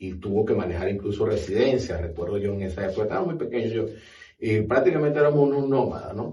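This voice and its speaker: In a dark, mellow tone, a somewhat breathy man speaks with lively intonation amid audible room echo. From Venezuela, Maracaibo (Zulia). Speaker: university director. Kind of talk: podcast interview.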